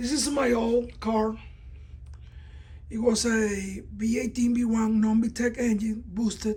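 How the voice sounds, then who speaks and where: A woman with a non-native accent speaks at a very slow pace with long, frequent pauses and monotone, flat intonation. Her fairly high voice has a dark, mellow tone and sounds somewhat breathy. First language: not English. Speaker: car enthusiast building an engine, video creator. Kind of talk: casual tutorial walkthrough. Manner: hesitant, many fillers and repeats.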